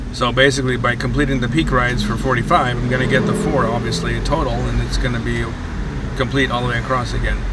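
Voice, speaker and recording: Over noticeable background noise, a man speaks very fast. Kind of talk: casual vlog chat. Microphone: phone near.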